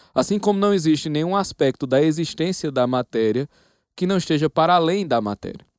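In a normal speaking voice, a man with fairly high pitch and lively intonation talks at a fairly quick pace, dry and close with no echo, against a quiet background. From Northeast Brazil, Paraíba. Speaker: professor. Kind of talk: casual chat.

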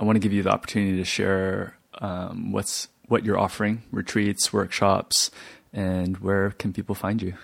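Speaking at a moderate pace, a man keeps his fairly low voice in a monotone, flat intonation. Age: 20s. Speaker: podcast host, yoga teacher. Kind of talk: interview conversation. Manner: halting.

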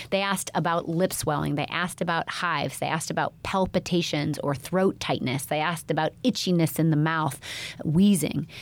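A woman uses an ordinary speaking voice, fairly low in pitch, with fairly even intonation at a fairly quick pace. The recording is very clean with a silent background. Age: 40s. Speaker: pediatrician podcast host. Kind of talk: health podcast monologue.

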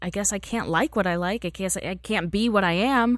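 A woman speaks in an animated tone at a medium pitch and a moderate pace, with ordinary pitch variation. The recording is very clean, with a silent background. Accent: American. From Texas. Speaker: show host and producer. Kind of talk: casual interview. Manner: animated, laughs often.

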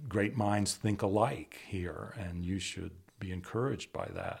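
Here is a normal speaking voice from a man with an American accent, fairly low in pitch and fairly even in intonation. He keeps a moderate pace in a very clean recording with a silent background. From Washington D.C. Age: 60s. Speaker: photographer. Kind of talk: interview. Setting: on location.

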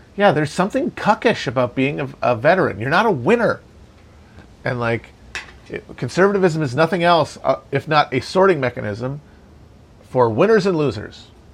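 An American-accented man at a moderate pace, fairly high-pitched with lively intonation. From Wisconsin. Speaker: political podcast host. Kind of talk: casual chat.

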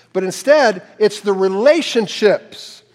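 A man talks in a high-pitched voice. His pitch swings very widely. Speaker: pastor. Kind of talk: sermon. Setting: church.

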